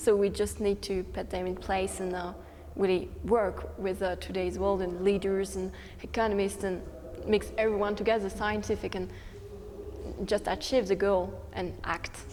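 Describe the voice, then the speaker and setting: In a French accent, a woman talks at a moderate pace, and the room echo is audible. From France. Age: 18. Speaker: student youth activist. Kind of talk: interview. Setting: conference. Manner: hesitant.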